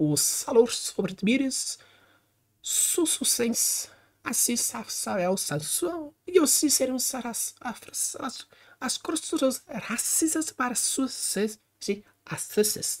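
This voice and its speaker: In a put-on character voice, a woman talks at a very slow pace with long, frequent pauses, her high pitch swinging very widely over a hissing sound. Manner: hissing, sibilant.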